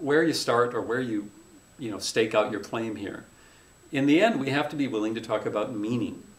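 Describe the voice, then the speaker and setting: In a room with audible echo, a man talks at a medium pitch with ordinary pitch variation. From North Dakota. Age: 50s. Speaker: journalism professor. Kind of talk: interview conversation.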